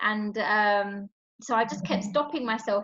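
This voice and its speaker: A woman at a medium pitch with a London accent. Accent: non-posh London. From northwest London, England. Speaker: HR professional and author. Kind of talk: interview. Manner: casual, many fillers.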